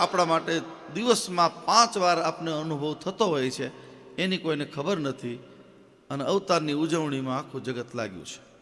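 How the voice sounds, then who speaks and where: High pitch from a male speaker, noticeable background noise underneath. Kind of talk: religious discourse. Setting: temple stage with audience.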